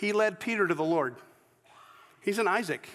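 Speaking at a moderate pace in an American accent, a man with a high pitch uses ordinary pitch variation. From US South, Georgia. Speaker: pastor. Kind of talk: sermon. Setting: church. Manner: halting.

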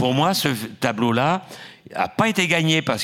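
Vocal fry runs through this man's speech at a moderate pace. He swings his pitch very widely. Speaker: film historian and exhibition curator. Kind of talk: panel discussion. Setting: auditorium with audience. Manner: halting with many hesitations.

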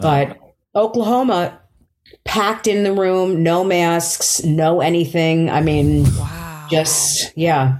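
A woman with a fairly low pitch speaks at a very slow pace with ordinary pitch variation. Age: 50s. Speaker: stand-up comedian. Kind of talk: casual chat.

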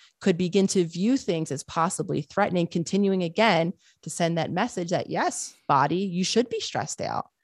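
A normal speaking voice with ordinary pitch variation moves at a moderate pace with hardly any pauses, in a dry, close sound with no echo. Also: woman, fairly low pitch for a woman. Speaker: psychologist and author. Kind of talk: interview conversation.

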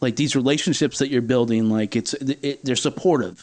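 Against a quiet background, a man with a normal speaking voice speaks at a fairly quick pace, with medium pitch and ordinary pitch variation. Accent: American. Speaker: music podcast host. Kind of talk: casual interview.

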